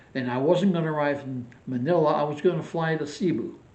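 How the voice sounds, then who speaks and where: In a room with audible echo, a man talks at a moderate pace, his fairly high pitch showing ordinary variation. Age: 80s+. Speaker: retired vlogger. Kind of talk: casual vlog monologue.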